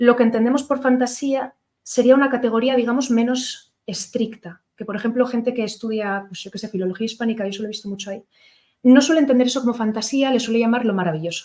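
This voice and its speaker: With a fairly high pitch, a woman moves along at a fairly quick pace. Her delivery keeps fairly even intonation. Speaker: lecturer on literature. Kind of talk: lecture. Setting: lecture hall with audience, streamed. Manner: fast; hesitant, many fillers.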